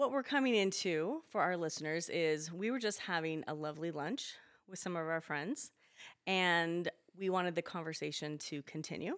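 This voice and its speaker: On a very clean recording with a silent background, a woman with a normal speaking voice talks at a fairly low pitch and a moderate pace, with lively intonation. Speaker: podcast co-host. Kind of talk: casual chat.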